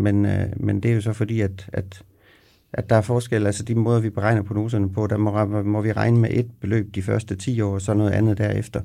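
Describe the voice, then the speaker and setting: Fairly low in pitch with a dark, mellow tone, a man speaks at a moderate pace in a monotone, flat intonation. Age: 50s. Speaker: pension specialist. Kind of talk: podcast interview. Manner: halting.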